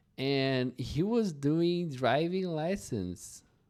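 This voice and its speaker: A man with a non-native accent is heard on a very clean recording with a silent background. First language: not English. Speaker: English teacher. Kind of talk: slow English storytelling for learners. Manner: slow.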